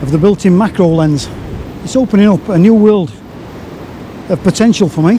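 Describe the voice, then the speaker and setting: Pausing long and often, a man speaks at a high pitch with ordinary pitch variation, in a dry sound with no echo and light background noise. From northern England, Yorkshire (Castleford). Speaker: photography vlogger. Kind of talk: casual vlog narration. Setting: outdoors on a windy beach. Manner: chatty, relaxed. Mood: relaxed, upbeat. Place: beach. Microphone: phone near.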